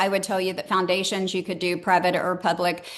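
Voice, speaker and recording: There is noticeable background noise. A woman is talking. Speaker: enterprise transformation consultant. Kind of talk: webinar presentation. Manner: fast.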